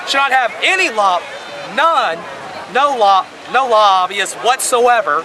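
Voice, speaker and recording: Clearly audible background noise surrounds a voice delivered at an even, middling speed. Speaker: protester. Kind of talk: street interview. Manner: halting.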